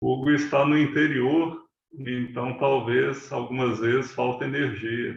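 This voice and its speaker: This man's intonation stays monotone and flat. His pace is very slow. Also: medium pitch for a man. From Brazil, Belo Horizonte, Minas Gerais. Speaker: meditation teacher. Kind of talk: talk to online audience.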